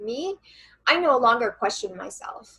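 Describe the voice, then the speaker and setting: Loud and high-pitched, a woman speaks at a moderate pace with lively intonation. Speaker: channeler and coach. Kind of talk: interview conversation.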